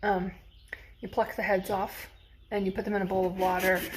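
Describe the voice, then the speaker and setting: A woman at medium pitch, fairly quick, with monotone, flat intonation. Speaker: cooking demo host. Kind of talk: cooking tutorial. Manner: fast; casual, chatty.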